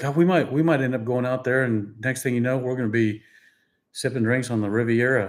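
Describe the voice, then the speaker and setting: Very clean recording with a silent background, featuring a man's normal speaking voice at a medium pitch, fairly quick in pace and fairly even in intonation. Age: 60s. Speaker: YouTube channel co-host. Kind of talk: casual live-stream chat. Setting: live stream.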